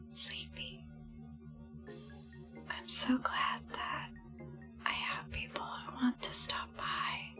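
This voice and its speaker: Soft-spoken whispering unfolds at a very slow pace. Music plays in the background. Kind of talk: ASMR livestream, soft-spoken chat with viewers. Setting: close to microphone, tapping sounds on a plastic controller. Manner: whispered, soft-spoken, sleepy.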